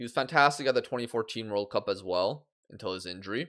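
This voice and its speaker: A man talks at a moderate pace, his pitch swinging very widely. The recording is very clean, with a silent background. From Poland. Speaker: gaming streamer. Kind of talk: live game stream chat. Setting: live stream. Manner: stuttering when speaking off the cuff; casual, conversational.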